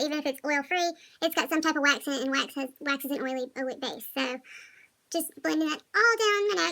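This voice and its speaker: Speaking at a moderate pace, a woman with an American accent uses a raised, projected voice. Her pitch is high, with ordinary variation. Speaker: makeup artist. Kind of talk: makeup tutorial.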